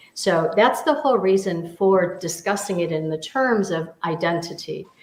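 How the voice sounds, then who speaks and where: This woman has an American accent and a medium pitch with ordinary pitch variation. Noticeable background noise can be heard. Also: moderate pace. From US Midwest, near Detroit, Michigan. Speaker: business mentor and teacher. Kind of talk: casual discussion. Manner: halting, many repetitions.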